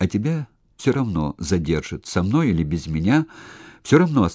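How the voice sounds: Natural voice, reading text aloud.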